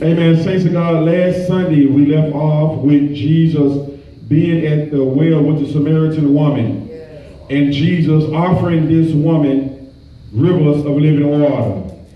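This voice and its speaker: Fairly slow speech with very even loudness, fairly even intonation, and audible room echo. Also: man. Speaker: preacher. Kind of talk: sermon. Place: church.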